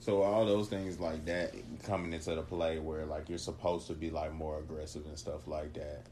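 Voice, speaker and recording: A man with a very deep, low voice speaks at a moderate pace, his tone dark and mellow and somewhat breathy. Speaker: host's boyfriend, gamer. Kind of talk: casual chat. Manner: monotone; halting, many fillers.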